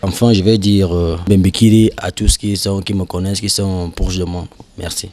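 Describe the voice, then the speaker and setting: Intonation remains flat and monotone. The delivery keeps a moderate pace. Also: man, very deep, low pitch for a man. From Cameroon, Ewondo. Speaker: interviewee. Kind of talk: vox pop interview.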